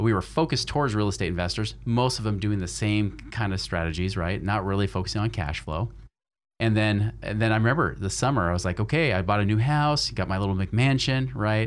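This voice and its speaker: A man has an unremarkable speaking voice. He talks at a fairly quick pace with a fairly low pitch. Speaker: financial advisor and podcast host. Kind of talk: interview.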